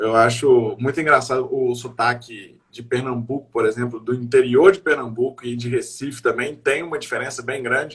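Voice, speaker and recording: The speech has big swings in loudness, a moderate pace and fairly even intonation. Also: man, medium pitch for a man. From Brazil, Minas Gerais (Belo Horizonte). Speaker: comedian. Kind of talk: casual chat.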